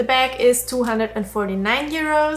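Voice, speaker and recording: A woman with a non-native accent talks at a very fast pace, with ordinary pitch variation. Noticeable background noise runs underneath. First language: not English. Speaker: fashion YouTuber. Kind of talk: try-on haul review. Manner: casual, conversational.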